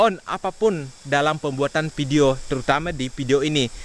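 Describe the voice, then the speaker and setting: Moderately paced speech from a man, pitch varying in an ordinary way. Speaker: farming vlogger. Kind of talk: vlog talk to camera. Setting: outdoors in rice field. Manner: loud. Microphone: action camera built-in mic, half a meter away.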